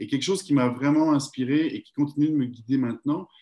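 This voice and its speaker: This man's voice has a dark, mellow tone. He talks very fast. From France. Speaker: network marketing entrepreneur. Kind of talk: casual interview.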